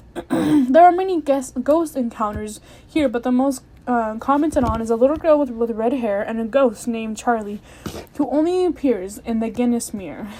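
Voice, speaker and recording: A woman's high voice with lively intonation at a moderate pace, over noticeable background noise. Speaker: podcast host. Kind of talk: casual podcast monologue. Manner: chatty, full of fillers.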